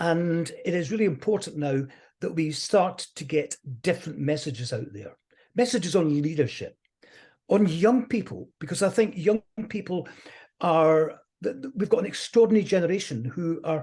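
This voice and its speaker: Someone with a Scottish accent talks at a moderate pace. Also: quiet background. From Scotland. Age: 70s. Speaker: motivational speaker. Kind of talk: interview.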